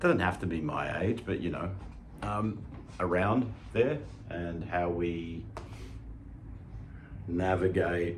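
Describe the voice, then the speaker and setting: With an Australian accent, a man speaks very slowly in a very deep, low pitch, leaving long, frequent pauses. His pitch varies in an ordinary way. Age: 50s. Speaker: fitness channel host, lifter. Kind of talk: casual talk to camera. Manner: casual, conversational, hesitant.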